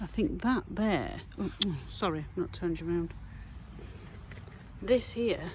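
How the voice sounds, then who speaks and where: Her voice fairly low, a woman talks at a fairly slow pace with long, frequent pauses and lively intonation. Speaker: metal detecting vlogger. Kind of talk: casual vlog narration. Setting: outdoors.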